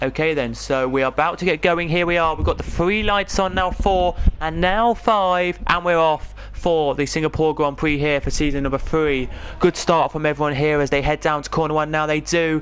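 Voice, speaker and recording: Speaking with an English accent, a man with a fairly high pitch keeps a moderate pace, fairly even intonation and very even loudness. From England. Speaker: esports race commentator. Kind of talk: live commentary.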